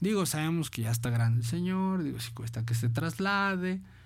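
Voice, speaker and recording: A man's somewhat breathy, fairly high-pitched voice moves at a moderate pace with very wide pitch swings. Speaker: internet radio host. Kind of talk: casual radio chat.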